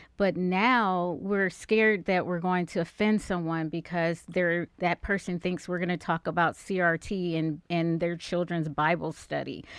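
Set against a quiet background, a woman with an American accent and a plain, everyday voice speaks at a fairly slow pace, with a fairly low pitch and fairly even intonation. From Cleveland, Ohio. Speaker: author. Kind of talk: interview.

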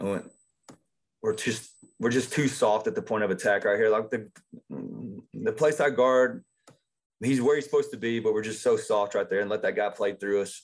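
Against a quiet background, a man with an East Texas accent speaks at a moderate pace with long, frequent pauses. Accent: East Texas Southern US. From southeast Texas. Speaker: high school football coach. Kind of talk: casual interview about coaching technique.

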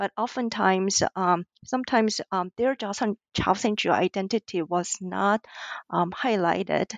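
Speaking in a Korean accent, a woman has a medium pitch, ordinary pitch variation and a moderate pace. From South Korea. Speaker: ethnomusicologist and author. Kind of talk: interview. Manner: hesitant, many fillers.

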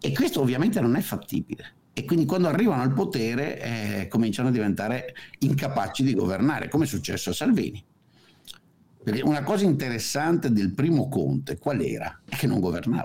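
Speaking at a fairly quick pace, a man with a medium pitch and a dark, mellow tone uses very wide pitch swings and vocal fry. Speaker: economist, political commentator. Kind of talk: casual chat.

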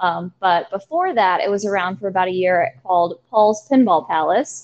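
The background here is quiet. A woman talks with lively intonation. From US South, southern Virginia (Danville). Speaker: arcade manager. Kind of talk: casual interview.

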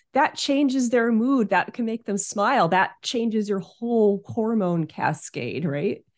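Against a quiet background, a woman speaks with a plain, everyday voice. Her medium pitch carries lively intonation at a fairly slow pace. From US Northeast, Hudson Valley of New York. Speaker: aromatherapist. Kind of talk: interview.

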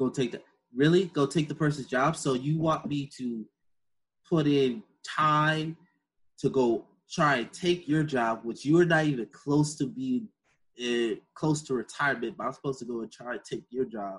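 A man speaks in a fairly high pitch, somewhat breathy, at a moderate pace. His pitch varies in an ordinary way against a quiet background. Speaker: podcast host. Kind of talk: casual monologue. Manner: animated.

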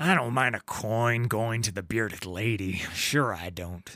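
A man's put-on, growling character voice at medium pitch, with ordinary pitch variation, in a very clean recording with a silent background. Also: moderate pace. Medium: read story. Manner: bullying, swaggering.

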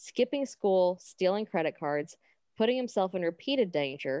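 Lively intonation in plain reading aloud, with quiet surroundings

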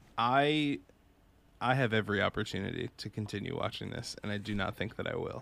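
A plain, everyday voice: a man with an American accent, medium pitch and ordinary pitch variation, at a fairly quick pace on a very clean recording with a silent background. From Massachusetts. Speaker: web series host. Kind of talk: casual chat.

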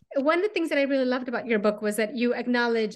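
Over a quiet background, a woman speaks in a warm, enthusiastic tone. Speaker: podcast host and university teacher. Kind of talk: interview.

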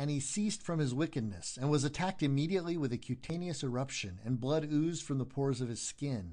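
The delivery is very fast with hardly any pauses. The tone is solemn, yet the intonation is lively. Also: man, fairly high pitch for a man. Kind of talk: audiobook reading of a historical first-person confession. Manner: solemn, measured, formal narration.

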